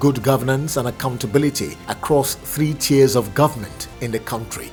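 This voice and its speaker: Over music in the background, a man speaks at a medium pitch with ordinary pitch variation. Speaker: newsreel news reader. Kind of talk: news bulletin read.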